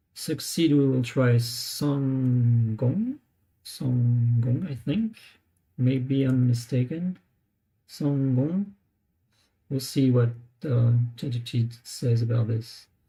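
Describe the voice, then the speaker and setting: Over music in the background, the speech moves at a very slow pace with long, frequent pauses. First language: not English. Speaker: language learner vlogger. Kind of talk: live tutorial. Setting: live stream on laptop. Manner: hesitant, many fillers.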